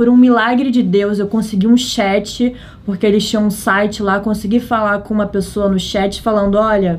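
A woman speaks at a moderate pace with fairly even intonation and a fairly high pitch. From Brazil, Rio de Janeiro. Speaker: travel content creator. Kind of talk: casual chat.

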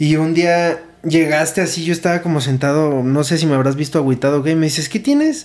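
Speaking with a Mexican accent, a man talks at a fairly quick pace with hardly any pauses, a fairly high pitch, fairly even intonation and very even loudness. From Mexico, Morelia. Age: 20s. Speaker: podcast host and CrossFit coach. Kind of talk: casual chat.

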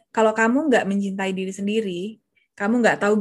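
Against a quiet background, a woman speaks at medium pitch and sounds somewhat breathy. Her intonation stays fairly even. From Jakarta, Indonesia. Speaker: confidence coach. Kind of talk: casual interview.

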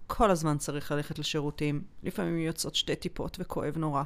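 A woman has a plain, everyday voice at a fairly low pitch. Her intonation stays fairly even. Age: 40s. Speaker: holistic emotional therapist. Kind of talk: interview about personal health experience. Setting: studio.

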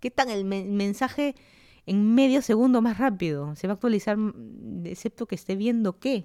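In a Lima accent, the speaker talks at a moderate pace with ordinary pitch variation and a dark, mellow tone, on a very clean recording with a silent background and a dry, close sound with no echo. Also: woman, fairly high pitch for a woman. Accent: Peruvian (Lima) Spanish. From Lima, Peru.

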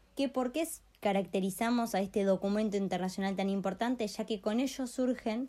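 Over a silent background in a very clean recording, a woman speaks at a fairly quick pace with a dark, mellow tone. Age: 20s. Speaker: law student. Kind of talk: lecture.

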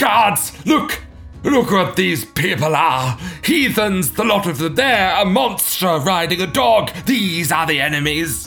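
Over clear background music, a man does a put-on character voice, pitched high and delivered at a fairly slow pace. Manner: blustering, then pleading in terror.

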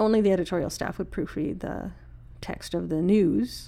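A woman with a Canadian prairie accent speaks at a moderate pace. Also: very clean recording, silent background. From Saskatchewan, Canada (Saskatoon). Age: 50s. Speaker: early retiree, former library technician. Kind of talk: casual interview.

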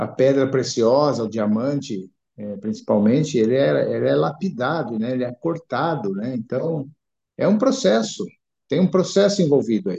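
A man speaks at medium pitch with vocal fry. His pitch swings very widely at a fairly slow pace. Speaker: church member.

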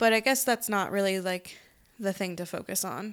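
Over a silent background in a very clean recording, a woman talks in an ordinary speaking voice with ordinary pitch variation. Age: 20s. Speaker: podcast co-host. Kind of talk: casual chat.

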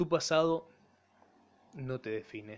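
A man speaks with ordinary pitch variation. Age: 20s. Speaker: podcaster and broadcasting student. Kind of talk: solo monologue podcast.

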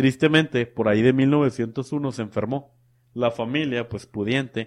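An ordinary speaking voice from a man, medium in pitch, with ordinary pitch variation and a moderate pace. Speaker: podcast co-host. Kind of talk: storytelling.

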